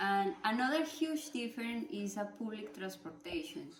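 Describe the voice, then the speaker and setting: Speaking at a fairly slow pace in a Spanish accent, a woman's somewhat breathy voice moves through very wide pitch swings. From Colombia. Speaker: student. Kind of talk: class presentation speech. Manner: halting.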